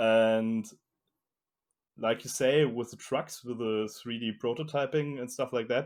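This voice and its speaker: At a fairly slow pace with long, frequent pauses, a man with a German accent speaks at medium pitch with fairly even intonation. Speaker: fingerboard wheel maker. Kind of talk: interview. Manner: halting.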